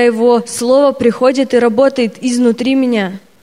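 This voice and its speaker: High pitch and fairly even intonation from a woman, with noticeable background noise. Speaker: Russian interpreter. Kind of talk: consecutive interpreting of a sermon. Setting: church stage with audience.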